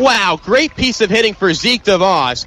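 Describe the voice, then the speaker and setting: Amid noticeable background noise, a man speaks in a raised, projected voice with an energetic, excited tone. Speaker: aspiring sports broadcaster, radio play-by-play announcer. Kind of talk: live baseball radio play-by-play. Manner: fast, energetic, excited.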